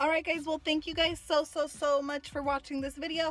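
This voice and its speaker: A woman talks very fast in a dry recording with no echo, faint music playing behind her. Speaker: fitness vlogger. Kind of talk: casual vlog chat. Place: car. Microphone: phone near.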